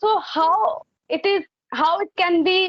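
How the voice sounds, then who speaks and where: This is a woman speaking. She has an Indian accent. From India, Delhi. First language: Hindi. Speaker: English learner. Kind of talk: English practice conversation. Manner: halting.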